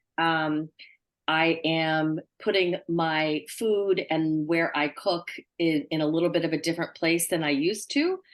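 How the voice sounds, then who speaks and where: A woman uses an ordinary speaking voice at a fairly low pitch. She talks at a fairly slow pace with fairly even intonation. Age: 60s. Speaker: recovering alcoholic in AA. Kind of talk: sharing in a recovery meeting.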